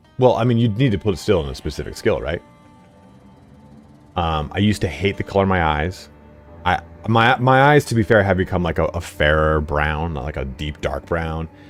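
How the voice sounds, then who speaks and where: A man's very deep, low voice with lively intonation and music in the background. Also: fairly quick pace. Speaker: gaming streamer. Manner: hesitant, many fillers.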